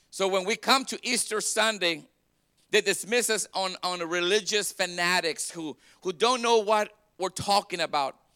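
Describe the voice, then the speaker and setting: A man with a high pitch and a bright, sharp tone speaks at a moderate pace in a raised, projected voice with ordinary pitch variation, on a very clean recording with a silent background and a dry, close sound with no echo. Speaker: pastor. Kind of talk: Easter Sunday sermon, call-and-response preaching to a congregation. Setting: church. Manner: fervent, rising exhortation with crowd prompts like 'Come on, somebody'; repetitive, stumbling restarts as he builds emphasis.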